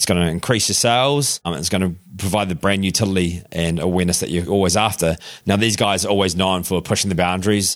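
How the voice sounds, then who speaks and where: Speaking very fast, a man has a New Zealand accent and a very deep, low pitch. His intonation remains fairly even. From Christchurch area, Canterbury. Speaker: augmented reality founder. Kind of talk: casual interview chat.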